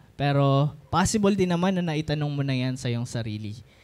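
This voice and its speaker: A man's fairly high-pitched, unremarkable speaking voice at a moderate pace, with ordinary pitch variation. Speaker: preacher. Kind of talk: sermon. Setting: church.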